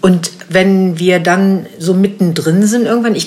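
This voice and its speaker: A woman speaks at a moderate pace with ordinary pitch variation while noticeable background noise continues. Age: 50s. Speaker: podcast host. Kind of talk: casual interview. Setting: in person in Berlin.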